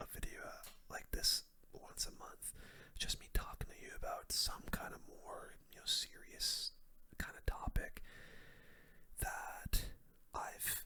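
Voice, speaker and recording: Whispering at a fairly slow pace, with long, frequent pauses. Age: 20s. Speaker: YouTuber. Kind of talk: casual talk to camera. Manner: halting, many fillers.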